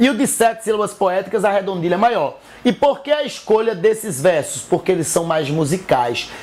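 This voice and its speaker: A man with a northeastern Brazilian accent, high-pitched and with lively intonation, at a moderate pace, with music in the background. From Northeast Brazil. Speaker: teacher. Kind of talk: educational lecture.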